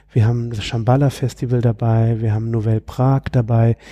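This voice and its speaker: In a dry, close recording with no echo, a man speaks at a moderate pace with a medium-pitched, dark, mellow, somewhat breathy voice. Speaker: music industry and sustainability entrepreneur. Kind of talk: casual interview conversation. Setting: conference room, in person.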